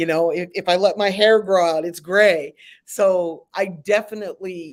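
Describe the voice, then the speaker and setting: Speaking fairly slowly in a normal speaking voice, a woman with an American accent keeps a medium pitch and fairly even intonation, recorded very cleanly against a silent background. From Philadelphia, US. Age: 60s. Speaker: music business consultant. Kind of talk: interview.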